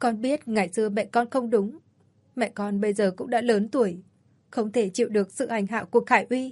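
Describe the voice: Plain reading aloud, intonation fairly even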